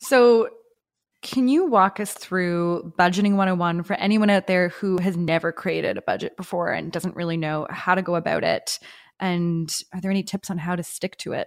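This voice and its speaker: A woman with a plain, everyday voice, moderate pace and fairly even intonation, in a very clean recording with a silent background. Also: medium pitch for a woman. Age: 20s. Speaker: podcast co-host. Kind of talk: interview; scripted narration.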